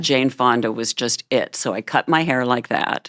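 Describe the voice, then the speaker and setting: A woman speaks with a very deep, low pitch and an animated tone. The sound is dry and close, without any echo. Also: ordinary pitch variation, moderate pace. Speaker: interview guest. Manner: chatty, animated storyteller.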